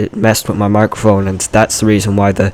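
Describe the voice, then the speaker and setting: A man's fairly low voice against noticeable background noise. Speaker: gaming youtuber. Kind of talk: gameplay voiceover commentary. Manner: halting, many fillers.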